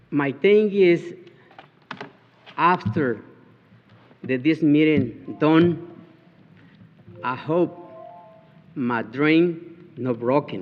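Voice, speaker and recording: A man with a fairly high pitch speaks very slowly, leaving long, frequent pauses. Music plays behind his voice, which shows ordinary pitch variation. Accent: Spanish. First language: Spanish. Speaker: resident speaking at county meeting. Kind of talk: public comment. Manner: halting.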